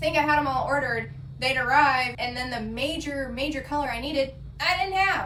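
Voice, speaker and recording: Noticeable background noise and audible echo from the room around a woman speaking at a fairly quick pace. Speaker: small business owner vlogger. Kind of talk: casual vlog talk. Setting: home studio during thunderstorm.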